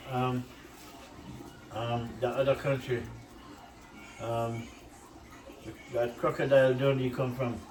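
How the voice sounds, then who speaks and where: A man of medium pitch talks with a strong Jamaican accent amid audible room echo. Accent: Jamaican accent, kept strong. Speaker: cooking channel host. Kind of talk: casual cooking vlog. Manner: animated.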